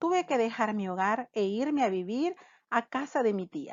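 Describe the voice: A fairly high-pitched woman with lively intonation, at a moderate pace, in a dry, close sound with no echo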